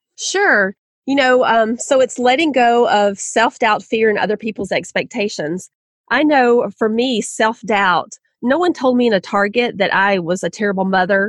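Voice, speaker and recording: In a Southern US accent, a woman speaks at a fairly high pitch and a moderate pace with lively intonation and very even loudness, in a dry, close sound with no echo. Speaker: author. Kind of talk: podcast interview.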